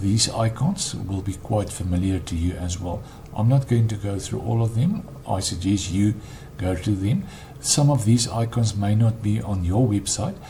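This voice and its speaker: Over noticeable background noise, this speaker talks with a non-native accent and ordinary pitch variation. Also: man, fairly low pitch for a man, moderate pace. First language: not English. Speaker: web developer. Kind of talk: tutorial. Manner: halting, frequent ums.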